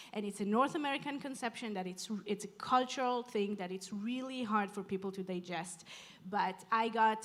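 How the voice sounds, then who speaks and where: Her pace is moderate. This woman has a medium pitch with ordinary pitch variation. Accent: non-native. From outside Canada. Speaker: urban planner, panelist. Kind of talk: panel discussion.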